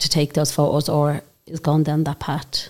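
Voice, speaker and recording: A woman with an Irish accent and a very deep, low pitch speaks at a moderate pace. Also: very clean recording, silent background. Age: 40s. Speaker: podcast host. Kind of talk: casual interview chat.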